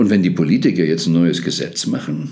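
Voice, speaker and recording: This is a man. His pitch is very deep and low. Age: 70s. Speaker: podcast host. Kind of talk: monologue.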